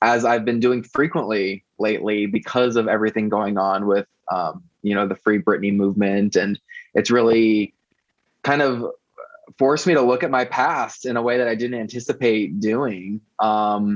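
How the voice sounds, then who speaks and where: A plain, everyday voice: a man with a fairly low pitch talks at a moderate pace with ordinary pitch variation, the sound dry and close with no echo. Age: 30s. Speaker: website founder and pop music blogger. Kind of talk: podcast interview.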